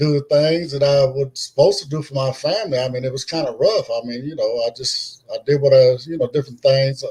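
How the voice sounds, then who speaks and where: The voice is somewhat breathy, with an American accent. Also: man. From California. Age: 60s. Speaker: blind interviewee. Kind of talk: interview. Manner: halting, many fillers.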